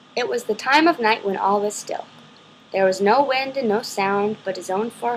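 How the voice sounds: This natural reading voice shows ordinary variation in pitch.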